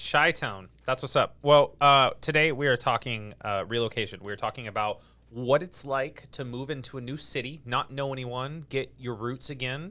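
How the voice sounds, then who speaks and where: With a bright, sharp tone and an American accent, a man of medium pitch speaks at a moderate pace with hardly any pauses and ordinary pitch variation, on a very clean recording with a silent background. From California. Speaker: real estate agent and podcast host. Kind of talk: podcast interview.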